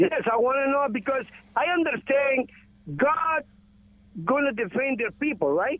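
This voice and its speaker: A man's extremely high voice broken by long, frequent pauses. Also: ordinary pitch variation, moderate pace. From Guatemala. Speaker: caller. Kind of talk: call-in question. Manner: halting.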